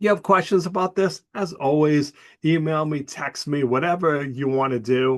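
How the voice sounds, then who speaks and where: Here is a man with a plain, everyday voice, pitched fairly high. He keeps a moderate pace with ordinary pitch variation. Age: 60s. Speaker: college professor. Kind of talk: recorded class announcement. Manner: casual, conversational.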